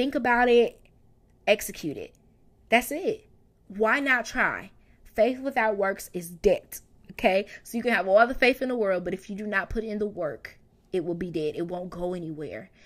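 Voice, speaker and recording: Animated in tone, a woman talks with a fairly high pitch. Her pace is moderate and her intonation lively. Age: 30s. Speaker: podcast host. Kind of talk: casual monologue.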